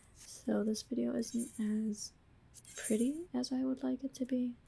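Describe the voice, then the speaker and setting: Soft-spoken, the speaker keeps to a fairly slow pace. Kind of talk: ASMR gameplay voiceover.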